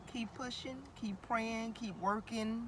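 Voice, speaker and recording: A woman speaks at a fairly slow pace with noticeable background noise around her. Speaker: vlogger. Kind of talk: motivational vlog. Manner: animated.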